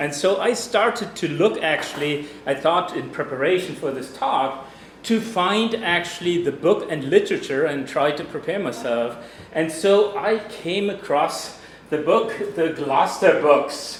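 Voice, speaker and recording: Lively intonation marks this speaker with a German accent at a fairly slow pace. Audible room echo and noticeable background noise are present. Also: man, high pitch for a man. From Germany. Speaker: geologist. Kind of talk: lecture. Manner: loud.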